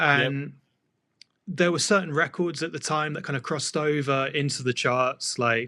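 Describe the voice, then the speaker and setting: A man with a bright, sharp tone and a southern English accent. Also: fairly high pitch for a man, ordinary pitch variation, moderate pace. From England, just outside London. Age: 30s. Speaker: DJ, producer, turntablist. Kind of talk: casual interview chat.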